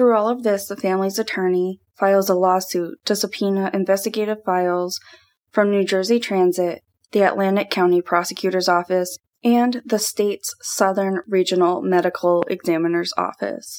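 In a very clean recording with a silent background, a woman speaks at a moderate pace in an ordinary speaking voice, medium in pitch, with fairly even intonation and very even loudness. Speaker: true crime podcast host. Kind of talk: true-crime narration. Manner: solemn, measured, ominous storytelling; formal, scripted, steady.

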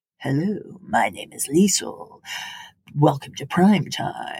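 Using a put-on character voice, a man talks very slowly at a high pitch. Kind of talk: radio DJ voice-over. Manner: smooth, announcing.

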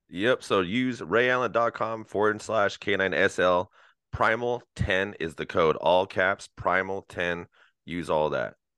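Speaking with an American accent at a fairly slow pace, a man has a fairly low pitch, a bright, sharp tone and ordinary pitch variation, captured in a dry, close sound with no echo against a quiet background. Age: 30s. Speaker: dog trainer. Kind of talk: casual chat.

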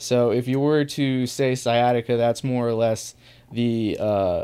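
In an ordinary speaking voice, a man with an American accent talks at a fairly slow pace. His pitch is medium and his intonation fairly even. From US Northeast, small town. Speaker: chronic pain sufferer sharing his story. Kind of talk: casual interview.

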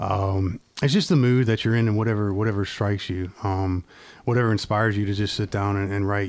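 This man talks at a fairly quick pace with an American accent. His fairly low voice stays monotone, with flat intonation. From California, Virginia. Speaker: singer-songwriter. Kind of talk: casual chat. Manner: halting.

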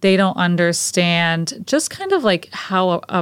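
A woman with a plain, everyday voice, medium in pitch, with an American accent, on a very clean recording against a silent background. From Connecticut. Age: 30s. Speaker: PR agency founder. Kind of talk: casual interview.

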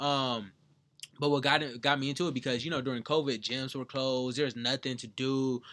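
In a very clean recording with a silent background, a man with an American accent speaks at a fairly quick pace. His medium-pitched voice has a bright, sharp tone and a monotone, flat intonation. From Southern California, San Bernardino. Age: 20s. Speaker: motivational speaker. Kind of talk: casual chat.

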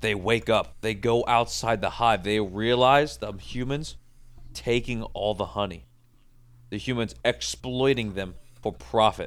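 A man at a fairly slow pace in a very clean recording with a silent background. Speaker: podcast guest. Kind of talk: casual chat. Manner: loud. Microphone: microphone too close, peaking.

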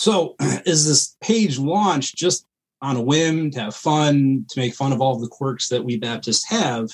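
A man speaks with a plain, everyday voice at a fairly slow pace. His fairly high pitch carries lively intonation. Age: 30s. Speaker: meme page creator, combat veteran. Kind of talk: casual chat.

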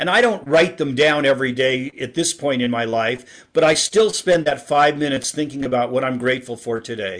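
A man with a fairly high pitch and ordinary pitch variation, in a normal speaking voice. He talks at a fairly quick pace with hardly any pauses. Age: 60s. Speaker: author and speaker on happiness. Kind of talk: interview.

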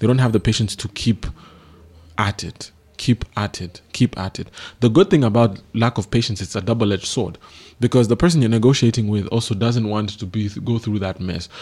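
This man talks at a fairly quick pace with a medium pitch and ordinary pitch variation. The recording is very clean, with a silent background. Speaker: business consultant and co-host. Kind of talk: radio talk about business. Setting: studio radio broadcast. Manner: hesitant, with many fillers.

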